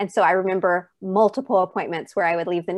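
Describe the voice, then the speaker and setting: A woman speaks at a very fast pace. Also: quiet background. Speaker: mother of a former NICU baby. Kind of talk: personal testimony interview.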